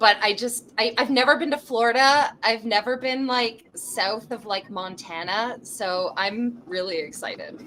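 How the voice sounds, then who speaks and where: Speaking with a Canadian accent, a woman uses a fairly high pitch and ordinary pitch variation. Her pace is fairly slow. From Canada. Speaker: touring fringe theatre performer. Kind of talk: casual interview chat. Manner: animated.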